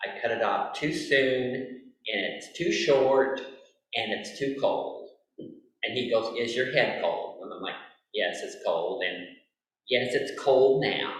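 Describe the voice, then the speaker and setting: The speech moves at a fairly slow pace, with audible echo from the room. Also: man. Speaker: lay speaker at a Quaker worship meeting. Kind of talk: read-out sermon; casual personal preamble.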